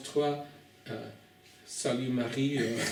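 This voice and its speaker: A man's fairly high, monotone, flat voice at a very slow pace, with noticeable background noise and audible room echo. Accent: non-native. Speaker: preacher. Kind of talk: sermon. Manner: halting.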